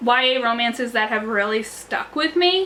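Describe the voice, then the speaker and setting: Over noticeable background noise, a woman speaks in a raised, projected voice. Her pitch is high, with ordinary variation. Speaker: book youtuber. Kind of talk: casual vlog talk. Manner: animated; fast.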